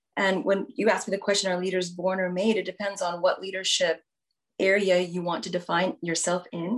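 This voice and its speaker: A woman speaks at a medium pitch and a moderate pace. It is an ordinary speaking voice. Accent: American. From Houston, Texas. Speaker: business executive. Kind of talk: interview.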